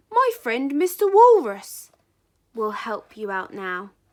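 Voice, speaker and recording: In a put-on character voice, a woman uses a gentle, sing-song delivery at a high pitch, captured in a very clean recording with a silent background. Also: fairly slow pace. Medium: read story.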